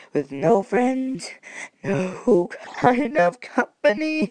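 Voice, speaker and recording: A put-on character voice at a fairly high pitch and a very slow pace. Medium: role play. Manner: melancholy.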